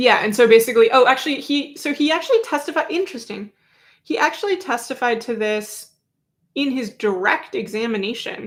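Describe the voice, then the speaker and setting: This woman has a high pitch and lively intonation. Her recording is very clean with a silent background. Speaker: independent journalist covering a trial. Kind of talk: livestream recap commentary. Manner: casual, many fillers; slow while looking up references.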